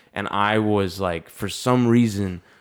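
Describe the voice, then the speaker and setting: The recording is very clean, with a silent background. Speech comes at a very slow pace in a monotone, flat intonation. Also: man. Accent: American. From US South, North Carolina. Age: 20s. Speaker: comedian. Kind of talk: casual chat.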